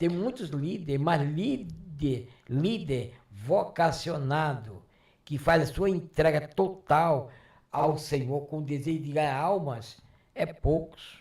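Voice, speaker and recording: A man's fairly high, somewhat breathy voice at a very slow pace, with ordinary pitch variation. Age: 70s. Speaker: retired pastor. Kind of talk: interview.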